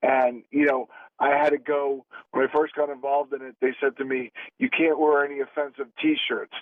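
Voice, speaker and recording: A man's monotone, flat intonation, with a Philadelphia accent. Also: fairly high pitch for a man, moderate pace. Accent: Philadelphia American. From Philadelphia, US. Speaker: actor. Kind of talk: radio interview.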